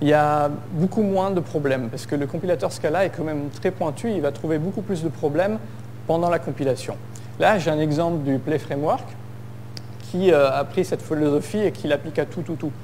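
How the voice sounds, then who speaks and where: A man speaks at a fairly high pitch. His pace is moderate, and the room echo is audible. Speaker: conference speaker, software developer. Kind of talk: tech conference talk. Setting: stage with audience. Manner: hesitant, many fillers.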